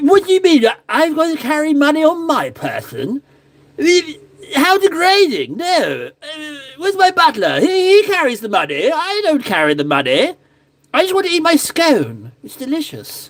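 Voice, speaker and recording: The put-on character voice is high in pitch. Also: moderate pace. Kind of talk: posh, affected. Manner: pompous.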